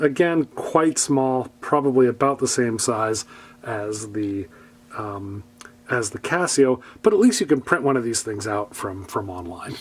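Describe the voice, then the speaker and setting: A man speaks in an ordinary speaking voice at a fairly slow pace. His intonation is lively, with big swings in loudness. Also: medium pitch for a man. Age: 60s. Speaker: product reviewer. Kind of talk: product review. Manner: casual, with frequent fillers.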